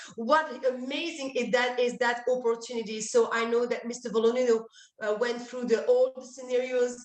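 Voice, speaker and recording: Talking at a moderate pace in a French accent, a woman keeps her high pitch monotone and flat. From France. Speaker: energy services presenter. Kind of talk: webinar presentation. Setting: online event call. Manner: halting, many fillers.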